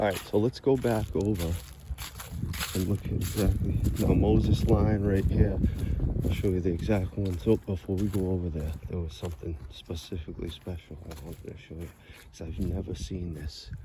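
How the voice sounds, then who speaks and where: With an American accent, a man with a very deep, low voice speaks at a moderate pace, showing ordinary pitch variation and big swings in loudness against noticeable background noise. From Massachusetts, US. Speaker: video blogger and songwriter. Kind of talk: walking vlog narration. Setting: outdoors in a cemetery. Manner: casual, rambling with self-corrections.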